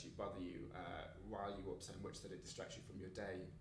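Noticeable background noise sits behind a man speaking at a fairly quick pace. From England, East Midlands (Mansfield, Nottinghamshire); East Midlands, England. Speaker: playwright; interviewee. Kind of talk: casual interview. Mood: relaxed, self-deprecating. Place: home room.

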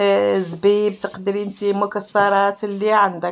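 A woman speaks in a monotone, flat intonation. Light background noise is present. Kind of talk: cooking tutorial. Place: kitchen. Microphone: phone near.

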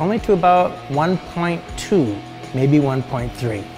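A man talks with ordinary pitch variation. Clear music plays in the background. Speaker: welding instructor. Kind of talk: tutorial. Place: workshop. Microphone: lapel.

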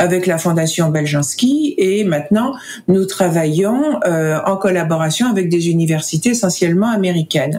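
Lively intonation marks a woman's medium-pitched voice. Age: 60s. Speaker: foundation director, researcher advocate. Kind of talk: casual interview. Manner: halting, hesitant with fillers.

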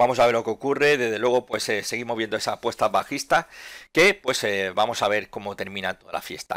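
In an ordinary speaking voice with ordinary pitch variation, the speaker goes at a fairly quick pace, recorded with a dry, close sound with no echo and a very clean, silent background. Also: man, medium pitch for a man. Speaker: stock market analyst youtuber. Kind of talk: market analysis commentary.

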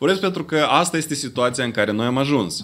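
The speaker moves at a moderate pace with lively intonation. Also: man. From Moldova. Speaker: independent analyst; conference speaker. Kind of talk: press conference statement. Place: meeting room. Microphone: podium.

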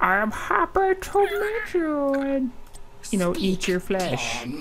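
Over clear background noise, a high-pitched put-on character voice swings very widely in pitch at a very slow pace. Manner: menacing, sinister.

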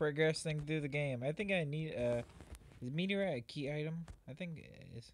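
This man talks at a fairly quick pace and a fairly high pitch, with ordinary pitch variation and big swings in loudness. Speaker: gaming YouTuber. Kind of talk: casual gameplay commentary. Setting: online voice call.

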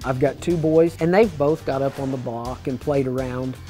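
A man with an American accent and ordinary pitch variation, faint music behind him. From Illinois. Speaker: livestock auctioneer. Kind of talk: interview answer. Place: hall. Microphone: lapel.

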